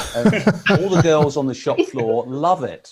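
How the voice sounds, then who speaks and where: A man's fairly high voice at a fairly slow pace. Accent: English. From England. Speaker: electronics engineer and industry consultant. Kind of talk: casual chat.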